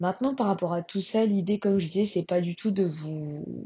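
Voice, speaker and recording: Her pitch sits in the middle range, rising and falling in an ordinary way. There is some breathiness to the woman's voice. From France. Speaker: podcaster. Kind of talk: casual monologue. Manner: hesitant, many fillers.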